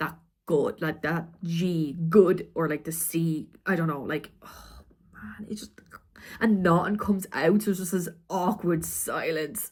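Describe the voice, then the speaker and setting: Loudness swings widely at a fairly slow pace. The voice is somewhat breathy, with ordinary pitch variation. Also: woman. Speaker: vlogger. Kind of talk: casual vlog. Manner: halting, many fillers.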